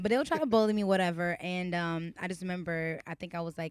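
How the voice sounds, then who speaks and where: A woman with a slight Haitian accent speaks at a fairly quick pace in a fairly low pitch. Her tone is animated, with ordinary pitch variation. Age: 20s. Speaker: singer. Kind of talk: interview.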